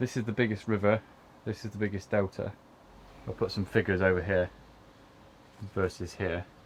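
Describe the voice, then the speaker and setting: An English accent at a fairly quick pace, somewhat breathy, with fairly even intonation and long, frequent pauses. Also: man, fairly low pitch for a man. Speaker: YouTuber, narrowboat owner. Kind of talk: product review vlog.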